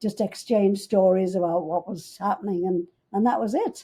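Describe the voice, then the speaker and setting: A woman speaks at medium pitch and a moderate pace in a Liverpool accent, her tone dark and mellow and somewhat breathy. The recording is very clean, with a silent background. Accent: Liverpool (Scouse) English. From England, Liverpool. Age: 90s. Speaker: businesswoman, Beatle's stepmother. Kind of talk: interview, storytelling.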